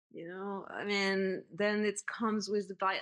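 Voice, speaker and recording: This is a woman's voice. She speaks with a French accent. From France. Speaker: community manager and writer. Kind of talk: podcast interview.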